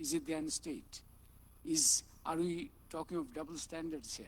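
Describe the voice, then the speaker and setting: A man with a high voice speaks at a moderate pace, his intonation lively. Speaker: panel moderator. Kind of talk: panel moderation.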